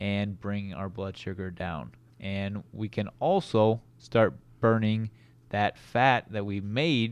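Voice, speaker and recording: A man talks in a normal speaking voice with ordinary pitch variation. The background is quiet. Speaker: chiropractic doctor, co-host. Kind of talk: casual educational discussion.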